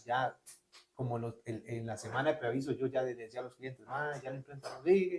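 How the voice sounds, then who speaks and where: Here a man talks at a fairly quick pace. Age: young. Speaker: graphic designer. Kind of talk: casual interview storytelling. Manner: animated.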